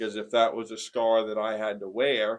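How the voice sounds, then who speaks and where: With a northern New England accent, a man talks at medium pitch. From Maine, small town Newport. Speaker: formerly homeless man sharing his story. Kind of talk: personal testimony.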